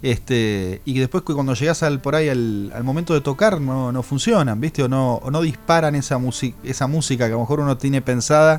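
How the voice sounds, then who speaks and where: A man with a normal speaking voice at medium pitch, fairly quick, with hardly any pauses and ordinary pitch variation. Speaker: jazz musician. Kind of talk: radio interview. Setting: radio studio.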